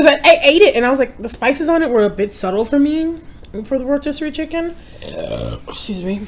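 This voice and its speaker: Over noticeable background noise, a woman with an American accent talks at a very fast pace in a high pitch, with lively intonation and long, frequent pauses. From New York. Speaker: mukbang youtuber. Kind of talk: casual chat. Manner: loud, projecting.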